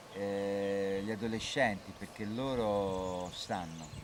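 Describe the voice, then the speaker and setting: A man speaks at a very slow pace with fairly low pitch and fairly even intonation. The room echo is audible. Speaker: interpreter. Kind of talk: consecutive interpreting.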